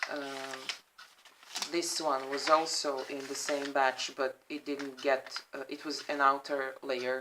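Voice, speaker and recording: Against noticeable background noise, a woman with a non-native accent speaks at a very slow pace in a very deep, low pitch, flat and monotone, with big swings in loudness. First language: not English. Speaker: crafter showing handmade journals. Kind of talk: product flip-through. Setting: at home, apartment. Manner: halting, many fillers.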